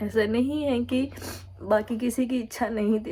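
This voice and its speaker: There is noticeable background noise. Through it, a woman speaks at a high pitch. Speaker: vlogger. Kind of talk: casual vlog talk to camera.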